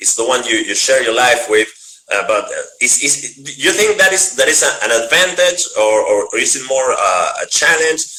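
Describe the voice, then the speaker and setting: A man with a Spanish accent over noticeable background noise. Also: moderate pace. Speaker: interviewer. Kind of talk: interview. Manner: halting.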